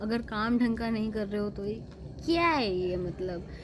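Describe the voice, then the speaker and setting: The speaker is a woman with a fairly high pitch. A somewhat breathy quality colors her voice. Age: 20s. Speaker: vlogger. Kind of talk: casual opinion monologue. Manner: animated.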